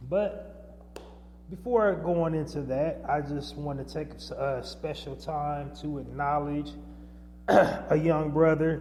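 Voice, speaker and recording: Very slow speech from a man, with audible room echo. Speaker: podcast host. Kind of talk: podcast monologue. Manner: loud.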